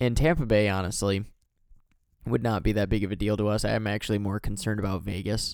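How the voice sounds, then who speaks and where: In an American accent, a man speaks at a fairly low pitch with fairly even intonation, and the recording is very clean, with a silent background. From Michigan, US Midwest. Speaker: hockey podcast host. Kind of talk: casual solo commentary. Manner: hesitant, many fillers.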